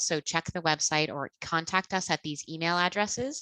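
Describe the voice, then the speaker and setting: A woman with a fairly low pitch and a bright, sharp tone speaks at a moderate pace with ordinary pitch variation, in a dry, close sound with no echo. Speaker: webinar host, registry co-chair. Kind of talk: webinar presentation.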